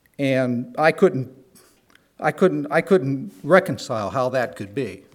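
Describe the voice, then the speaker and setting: At a fairly slow pace, a man with a fairly high pitch and lively intonation speaks with an American accent. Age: 60s. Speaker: church member. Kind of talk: testimony. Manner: halting.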